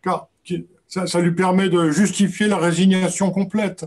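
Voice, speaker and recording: Very slowly, a man talks in a high pitch. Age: 80s+. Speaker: author and documentary filmmaker. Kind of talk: book talk Q&A. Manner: halting, many repetitions.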